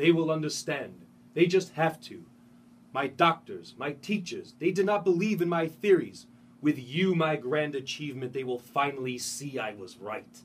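A man does a put-on character voice, fairly high in pitch and resonant, at a moderate pace with ordinary pitch variation and big swings in loudness. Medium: read story.

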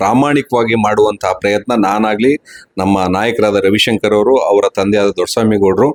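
A man talks with fairly even intonation. The recording is dry and close, without any echo. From Karnataka, Mysore district (K R Nagara taluk). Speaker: businessman and local party leader. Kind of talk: TV interview. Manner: halting.

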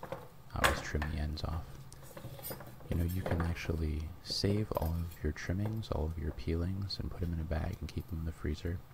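Very deep and low, a man's voice moves at a moderate pace with fairly even intonation. The sound is dry with no echo, though loud background noise is present. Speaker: ASMR cooking channel host. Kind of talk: cooking tutorial narration. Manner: softly spoken, whispery. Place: kitchen.

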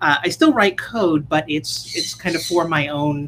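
There is light background noise as a woman speaks. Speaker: conference speaker. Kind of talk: conference talk. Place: home room.

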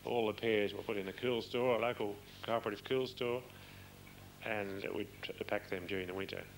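Long, frequent pauses break up a man's fairly low voice, which has fairly even intonation. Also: moderate pace. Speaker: orchardist. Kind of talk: interview answer.

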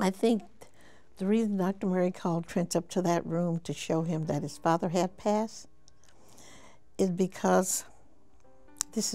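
Over faint background music, a woman speaks at a moderate pace with a fairly low pitch and fairly even intonation. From United States. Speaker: mother of a late pop star. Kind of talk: interview answer. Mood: somber, reflective. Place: home room.

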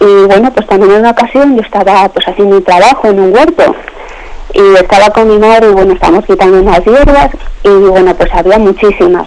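Over noticeable background noise, a woman speaks at a fairly quick pace with a medium pitch. Her loudness stays very even, and her pitch variation is ordinary. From León, Spain. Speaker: radio caller. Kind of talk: testimony. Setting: phone call.

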